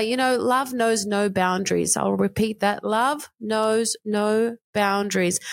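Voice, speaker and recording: With fairly even intonation, a woman keeps a moderate pace. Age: 40s. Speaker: podcast host and life coach. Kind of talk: solo monologue.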